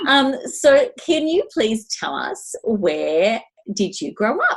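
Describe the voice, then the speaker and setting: A woman speaks with an Australian accent. Her pace is very slow. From Melbourne, Australia. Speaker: podcast co-host. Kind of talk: casual chat.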